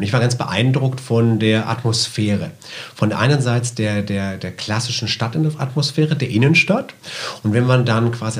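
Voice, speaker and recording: Noticeable background noise runs under this man's voice. He keeps a moderate pace and ordinary pitch variation. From southwest Germany, Karlsruhe. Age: 50s. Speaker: shopping center manager. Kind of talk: interview.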